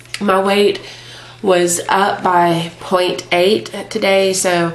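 Noticeable background noise accompanies a woman speaking at medium pitch in a flat, monotone way. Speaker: vlogger documenting a fitness trial. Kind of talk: casual video blog. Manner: casual, with frequent filler words.

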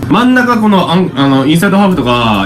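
A man is speaking. Noticeable background noise sits behind his voice. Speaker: football tactics commentator. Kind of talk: live-stream match commentary. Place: home room.

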